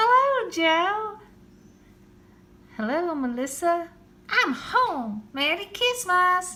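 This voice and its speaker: A woman's put-on character voice, extremely high and very slow, with very wide pitch swings and long, frequent pauses. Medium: read story. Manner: warm, merry.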